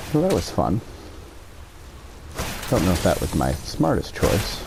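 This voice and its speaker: A man at very even loudness amid noticeable background noise. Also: fairly slow pace. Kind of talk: casual talk to camera, gaming commentary. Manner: whispered, deep.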